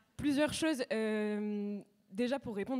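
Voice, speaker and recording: Over noticeable background noise, a woman talks in a fairly high voice with fairly even intonation. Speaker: student union president. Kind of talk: panel discussion. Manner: fast.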